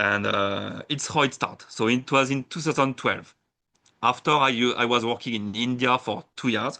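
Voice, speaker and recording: A man at medium pitch speaks with a French accent at a moderate pace, his tone bright and sharp and his intonation fairly even. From France, Burgundy. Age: 30s. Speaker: sake brewer and tour operator. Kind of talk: interview. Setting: podcast. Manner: halting.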